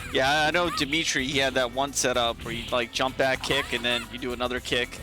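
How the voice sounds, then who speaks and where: With music in the background, a man speaks at a medium pitch and a fairly quick pace. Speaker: fighting game commentator. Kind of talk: esports commentary.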